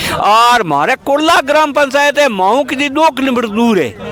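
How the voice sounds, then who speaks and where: A man's voice rises to an extremely high pitch amid noticeable background noise. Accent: Marwari. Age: 60s. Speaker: villager. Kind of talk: interview statement at a protest. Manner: halting.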